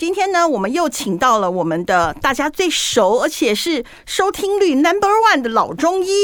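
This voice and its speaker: A high-pitched woman at a moderate pace, very wide pitch swings, hardly any pauses, and noticeable background noise. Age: 50s. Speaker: podcast host. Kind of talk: casual chat. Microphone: muffled by face mask, breathing audible.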